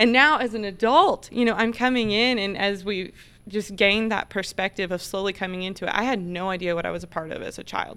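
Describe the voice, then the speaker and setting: A woman with an American accent has an ordinary speaking voice. She talks at a fairly quick pace with ordinary pitch variation and hardly any pauses. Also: medium pitch for a woman. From Oklahoma. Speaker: ranch manager. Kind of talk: casual chat.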